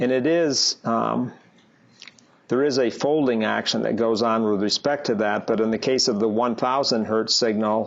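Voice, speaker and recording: A man talks in a plain, everyday voice at a medium pitch and a moderate pace, with very even loudness and fairly even intonation. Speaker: university lecturer. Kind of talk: lecture.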